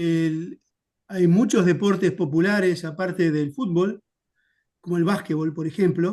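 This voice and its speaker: A man with a Uruguayan accent speaks in a high voice with a dark, mellow tone and ordinary pitch variation. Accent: Rioplatense Spanish (Uruguayan). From Uruguay, Montevideo. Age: 60s. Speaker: historian. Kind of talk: interview.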